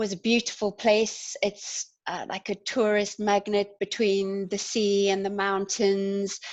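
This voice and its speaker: At a fairly slow pace, a woman with a South African accent speaks at a medium pitch in a monotone, flat intonation. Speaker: community development worker and activist. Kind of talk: panel discussion.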